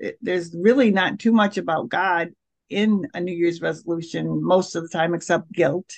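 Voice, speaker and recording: A woman with an unremarkable speaking voice talks at a fairly low pitch. Her pace is moderate, and her pitch variation is ordinary. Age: 60s. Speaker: spiritual director. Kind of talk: interview testimony.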